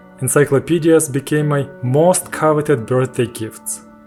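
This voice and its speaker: Over music in the background, a man with a Ukrainian accent talks at a fairly slow pace and a medium pitch with ordinary pitch variation. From Ukraine. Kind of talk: personal story narration. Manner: slow, with pauses.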